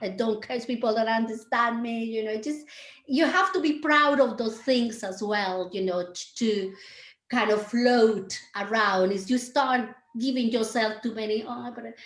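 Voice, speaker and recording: Speaking in a Colombian accent, a woman has a fairly high pitch. She keeps a moderate pace. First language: Spanish. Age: 50s. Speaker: dance teacher and choreographer. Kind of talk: interview conversation.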